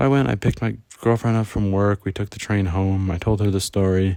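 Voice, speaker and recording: A man speaks quietly at a fairly low pitch and a fairly quick pace, in a dark, mellow tone. The recording is very clean, with a silent background. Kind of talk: casual storytime talk. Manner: quiet, subdued.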